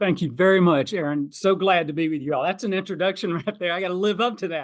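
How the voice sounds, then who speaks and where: This man has a high voice and a Southern US accent. He speaks very fast with ordinary pitch variation. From US South, South Georgia. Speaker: financial planner and author. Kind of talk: podcast interview. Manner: loud, passionate.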